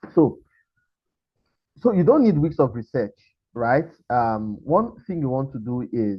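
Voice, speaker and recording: Somewhat breathy, a man speaks at medium pitch with lively intonation. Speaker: webinar presenter, startup founder. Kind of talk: webinar presentation. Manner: fast; animated.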